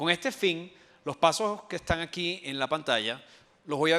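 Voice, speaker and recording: In a very clean recording with a silent background, a man's fairly high voice sounds bright and sharp. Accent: Venezuelan. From Venezuela. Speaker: IT transformation specialist. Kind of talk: conference talk. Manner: hesitant fillers.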